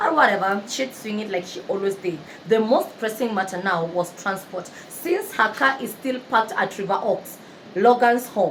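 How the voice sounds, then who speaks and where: Over noticeable background noise, a woman speaks at a moderate pace in an animated tone, her fairly high pitch carrying lively intonation. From Kenya. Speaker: book narrator and YouTuber. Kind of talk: storytelling retelling of a novel. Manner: loud.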